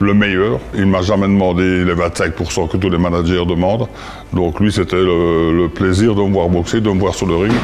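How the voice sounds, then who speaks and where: This man has a very deep, low pitch, fairly even intonation and very even loudness at a moderate pace. There is audible room echo and noticeable background noise. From Belgium, Liège province (Visé). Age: 70s. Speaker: former boxer and boxing coach. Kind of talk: interview testimony.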